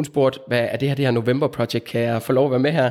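Here a man has a normal speaking voice at medium pitch. He moves along at a fairly quick pace. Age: 30s. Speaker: physiotherapist. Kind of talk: interview.

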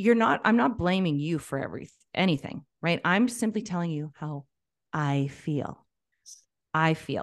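In a quiet background, a woman with an unremarkable speaking voice talks at a fairly slow pace, her fairly low pitch shaped by lively intonation. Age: 40s. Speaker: life and business coach. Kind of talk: casual interview conversation.

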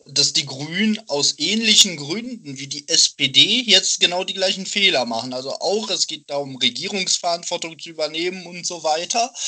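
Over noticeable background noise, a man with a high pitch and lively intonation talks at a moderate pace with hardly any pauses and big swings in loudness. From Dortmund, Germany. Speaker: student, party member. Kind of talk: casual chat.

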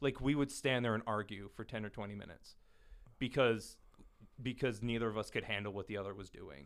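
A plain, everyday voice with an American accent, fairly quick pace, ordinary pitch variation and big swings in loudness. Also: man, medium pitch for a man. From US Midwest, Minnesota. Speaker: podcast guest. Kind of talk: casual chat.

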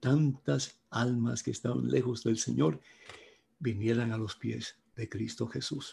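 A man talks at a very slow pace in a somewhat breathy voice. His medium pitch has a dark, mellow tone. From Cuba. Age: 70s. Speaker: priest and evangelist. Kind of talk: talk to priests.

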